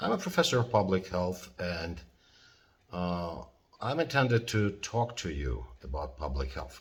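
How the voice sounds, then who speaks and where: In a non-native accent, a man with a very deep, low pitch and very wide pitch swings speaks at a fairly slow pace, somewhat breathy, with audible room echo. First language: not English (English is third language). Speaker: professor. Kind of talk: lecture. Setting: at home in living room. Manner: halting, many fillers.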